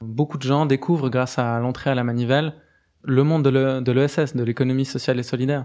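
A man's dark, mellow tone at medium pitch, monotone and flat in intonation, delivered at a fairly quick pace. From Switzerland, Geneva. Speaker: cooperative cofounder. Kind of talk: interview. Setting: studio. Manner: halting, frequent fillers.

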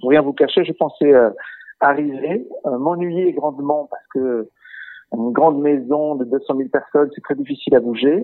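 His voice sits fairly high, with ordinary pitch variation. This man speaks at a fairly slow pace. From Portugal. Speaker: chief digital officer. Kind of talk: interview. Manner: hesitant, many fillers.

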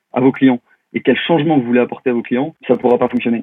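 With fairly even intonation and a medium pitch, a man talks in a normal speaking voice. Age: 30s. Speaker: digital consultant and LinkedIn trainer. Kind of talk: podcast interview.

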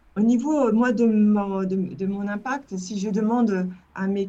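Very slow and dark, mellow in tone, this woman's voice sits at a medium pitch. Her pitch varies in an ordinary way. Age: 50s. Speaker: digital communication agency founder. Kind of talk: interview. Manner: halting.

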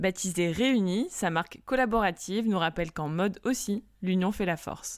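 In a very clean recording with a silent background, a woman with a slight southern French accent speaks at a moderate pace, her medium pitch showing ordinary variation. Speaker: podcast host, journalist. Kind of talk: scripted intro.

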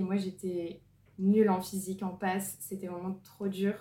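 A woman talks at a medium pitch and a moderate pace. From northern France (Lille). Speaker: medical student. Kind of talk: testimony.

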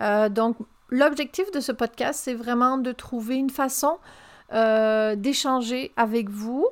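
This woman's voice sits high in pitch with ordinary pitch variation. She speaks at a very slow pace. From France. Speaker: podcast host, communication consultant. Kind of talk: solo podcast monologue.

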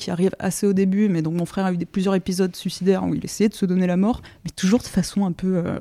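At a fairly quick pace, a woman with a dark, mellow tone and medium pitch speaks in a very clean recording with a silent background. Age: 30s. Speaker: illustrator and comic book author. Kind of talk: interview. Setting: at her home.

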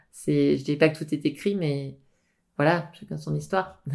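The background is silent in this very clean recording. The voice belongs to a woman. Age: 40s. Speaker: naturopath. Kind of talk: interview.

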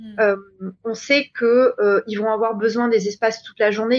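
Fairly high in pitch, a woman speaks at a moderate pace. Her intonation remains fairly even. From New Caledonia. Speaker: hotel events director. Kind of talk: interview.

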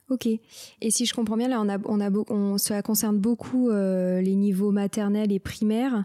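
A woman speaks fairly slowly at medium pitch with a dark, mellow tone, monotone, flat intonation, very even loudness and hardly any pauses. The sound is dry and close with no echo on a very clean recording with a silent background. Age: 20s. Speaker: podcast host. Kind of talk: interview.

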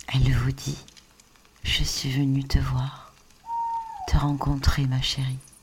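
A woman's very slow speech with long, frequent pauses amid noticeable background noise. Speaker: sophrologist. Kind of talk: guided meditation. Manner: soft-spoken.

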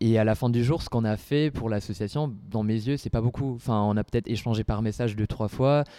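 A man's medium-pitched voice at a fairly quick pace, with fairly even intonation and hardly any pauses. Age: 20s. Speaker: student association president. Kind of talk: casual interview talk. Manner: halting.

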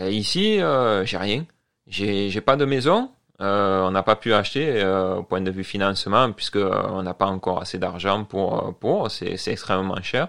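With a quiet background, a man with a fairly low pitch speaks at a very slow pace with ordinary pitch variation. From Marseille, southern France. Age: 40s. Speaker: French immigrant in Canada. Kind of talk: casual interview. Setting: studio.

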